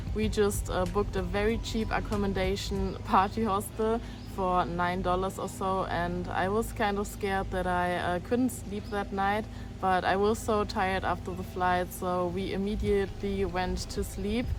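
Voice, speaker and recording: With music in the background and audible room echo, a woman in a German accent speaks at a moderate pace. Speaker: travel vlogger. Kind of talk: travel vlog. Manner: hesitant, many fillers.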